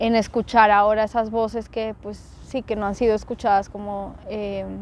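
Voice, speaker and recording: The intonation stays flat and monotone while the words come out fairly slowly. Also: woman. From Colombia, Bogotá. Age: 30s. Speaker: activist and podcaster. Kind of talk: interview. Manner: hesitant, many fillers.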